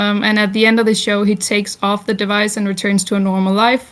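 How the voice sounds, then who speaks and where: A woman's medium-pitched voice in a Danish accent, monotone and flat, on a very clean recording with a silent background. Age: 20s. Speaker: festival talk speaker. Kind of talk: informal talk to an audience. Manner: sometimes stumbling over words; many filler words, unscripted.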